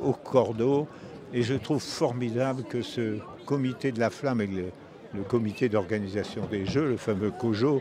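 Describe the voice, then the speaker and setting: Over noticeable background noise, a man talks at a fairly slow pace and medium pitch, with ordinary pitch variation. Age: 90s. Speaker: retired Olympic fencer. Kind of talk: interview. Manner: halting, many hesitations.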